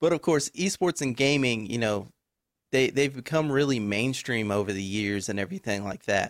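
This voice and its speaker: This man has a plain, everyday voice at medium pitch, with an American accent and lively intonation. His moderate pace comes through in a dry, close sound with no echo. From Texas. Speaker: podcast host. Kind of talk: interview.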